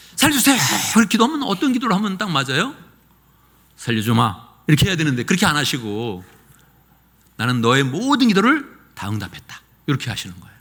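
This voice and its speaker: An animated tone at a very fast pace, with very wide pitch swings, big swings in loudness, and long, frequent pauses. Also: man, high pitch for a man. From rural South Korea. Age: 60s. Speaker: pastor. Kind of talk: sermon. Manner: animated, conversational.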